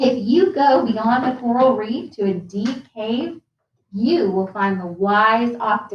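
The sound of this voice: An unforced reading voice with ordinary pitch variation, over a quiet background.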